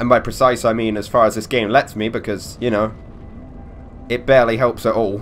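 A man at a medium pitch and fairly quick pace, with long, frequent pauses and music in the background. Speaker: gaming commentator. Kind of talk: let's play commentary. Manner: casual, animated.

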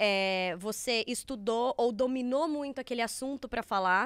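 A woman with a high pitch and lively intonation speaks at a moderate pace, recorded dry with no echo against a quiet background. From Brazil. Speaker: podcast host. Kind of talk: casual chat. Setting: studio. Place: studio. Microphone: studio mic.

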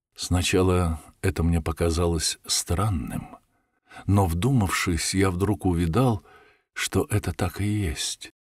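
A man speaks at a very slow pace with a very deep, low pitch. The sound is dry and close, with no echo. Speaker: audiobook narrator. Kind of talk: reading aloud.

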